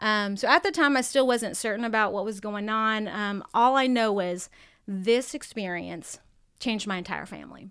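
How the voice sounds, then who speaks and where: Fairly high for a woman, her unremarkable speaking voice has an American accent, ordinary pitch variation, big swings in loudness and a moderate pace on a very clean recording with a silent background. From San Diego, California. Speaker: biblical counselor. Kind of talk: testimony.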